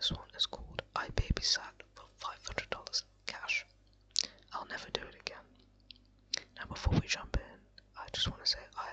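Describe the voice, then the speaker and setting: The speaker whispers over noticeable background noise. The pace is moderate. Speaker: ASMR creator. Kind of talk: casual talk to camera. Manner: whispered.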